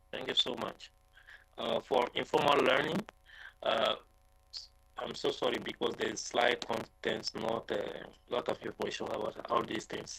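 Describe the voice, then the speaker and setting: Speaking with a non-native accent, this voice moves at a fairly slow pace broken by long, frequent pauses. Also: man. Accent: non-native English speaker, self-described. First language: French. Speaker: conference presenter, researcher. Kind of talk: Q&A answer at conference session. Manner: halting, many fillers.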